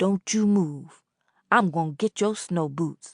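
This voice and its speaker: The speaker puts on a character voice at a fairly slow pace. Pitch variation is ordinary, and the background is quiet. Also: woman, fairly low pitch for a woman. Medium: read story. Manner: folksy and casually menacing.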